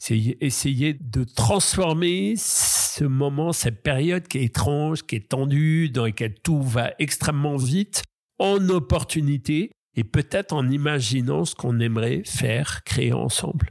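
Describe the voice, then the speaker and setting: Fairly high pitch for a man, at a very slow pace. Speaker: kidnapping survivor. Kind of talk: testimony.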